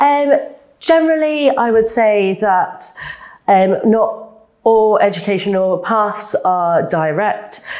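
A woman speaks at a very slow pace in a fairly high pitch with lively intonation. The background is quiet. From South East London. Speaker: neurosurgeon; guest. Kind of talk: interview. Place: studio.

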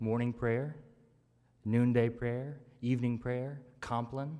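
A man at a very slow pace with long, frequent pauses, against a quiet background. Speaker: preacher. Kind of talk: sermon. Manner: rhythmic, measured preaching with repeated triplets and a drumbeat cadence; warm, conversational asides with laughter. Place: church. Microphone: podium.

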